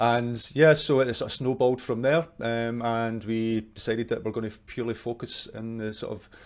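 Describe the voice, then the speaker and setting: A man speaks with a Scottish accent and fairly even intonation. The recording is very clean, with a silent background. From Scotland, Glasgow. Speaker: marketing agency owner. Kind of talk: interview.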